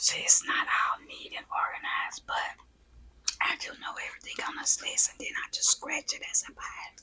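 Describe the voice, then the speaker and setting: A moderately paced whisper amid noticeable background noise. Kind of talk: ASMR casual talk to camera. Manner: whispered.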